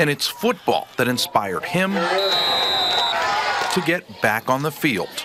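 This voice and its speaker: Through noticeable background noise, a man speaks at a very slow pace with hardly any pauses, his high pitch making very wide swings while the loudness stays very even. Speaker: sports reporter and play-by-play commentator. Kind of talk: TV news package voiceover narration.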